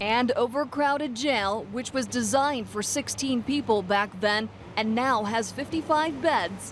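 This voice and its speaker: Using a plain, everyday voice, a woman speaks fairly slowly and at a fairly high pitch with ordinary variation and hardly any pauses. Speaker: TV news reporter. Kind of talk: TV news report narration.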